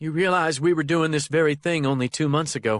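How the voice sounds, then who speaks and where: Against a quiet background, a man puts on a shaky character voice at a fairly high pitch, speaking fairly quickly with fairly even intonation. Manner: shaky, upset.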